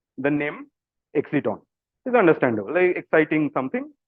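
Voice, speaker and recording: The speaker is a man with a Bengali accent. His pitch is fairly high. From India, Kolkata, West Bengal. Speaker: physics PhD student. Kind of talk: public science talk. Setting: video call. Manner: casual, hesitant with fillers.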